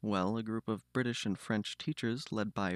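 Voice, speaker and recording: A man speaks with a General American accent. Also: dry, close sound with no echo, very clean recording, silent background. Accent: approximately general American. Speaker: conlang and linguistics youtuber. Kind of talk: scripted narration.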